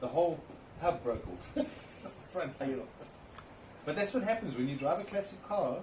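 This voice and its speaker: Amid noticeable background noise and audible room echo, a man with a high pitch speaks at a moderate pace, his pitch swinging very widely and broken by long, frequent pauses. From South Africa, Cape Town. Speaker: classic car owner. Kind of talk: interview.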